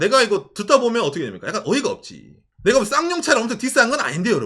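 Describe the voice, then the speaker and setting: A man's extremely high-pitched, raised, projected voice, bright and sharp in tone, animated, with very wide pitch swings at a very fast pace. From South Korea, Ulsan (Gyeongsang). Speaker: YouTuber. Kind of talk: casual chat. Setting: live stream.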